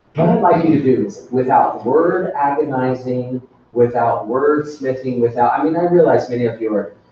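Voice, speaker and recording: A man talks at a moderate pace and medium pitch. His pitch varies in an ordinary way, and there is noticeable background noise. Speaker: workshop presenter for teachers. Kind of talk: professional development workshop.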